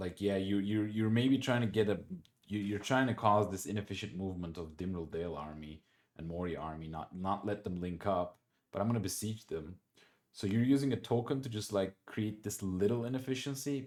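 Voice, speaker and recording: Fairly low in pitch and with a non-native accent, a man speaks fairly quickly in a very clean recording with a silent background. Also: ordinary pitch variation. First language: not English. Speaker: board game player and commentator. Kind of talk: gameplay commentary. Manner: halting, many repetitions and restarts; casual, conversational.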